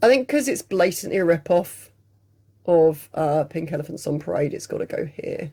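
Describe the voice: A woman uses a put-on character voice that is raspy and fairly low-pitched. Her intonation is lively and her pace moderate.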